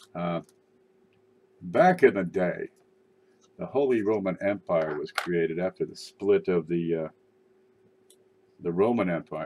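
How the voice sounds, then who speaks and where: This man talks in a very deep, low voice. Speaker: coin collecting livestreamer. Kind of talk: casual live stream commentary. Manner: casual, rambling with fillers.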